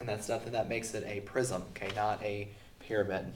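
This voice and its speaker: There is audible room echo around a man whose pitch is fairly low. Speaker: teacher. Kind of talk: recorded math lesson. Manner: casual with many fillers.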